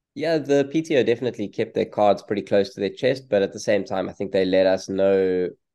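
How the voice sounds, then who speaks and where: At a moderate pace, a man speaks at a fairly low pitch in a South African accent. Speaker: professional triathlete. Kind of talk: interview. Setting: video call.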